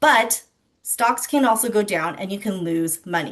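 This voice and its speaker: Her voice is fairly high-pitched, with lively intonation at a moderate pace. The woman has a normal speaking voice. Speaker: financial educator presenter. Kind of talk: online financial literacy presentation.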